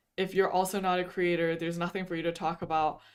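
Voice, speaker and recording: A woman speaks in a normal speaking voice at a medium pitch and a fairly quick pace. Her intonation is fairly even, and the recording is very clean with a silent background. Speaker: VTuber streamer. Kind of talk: casual livestream chat. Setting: livestream.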